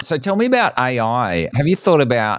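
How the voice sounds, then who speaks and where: A man with an unremarkable speaking voice talks at a moderate pace with lively intonation on a very clean recording against a silent background. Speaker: podcast host. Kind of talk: interview.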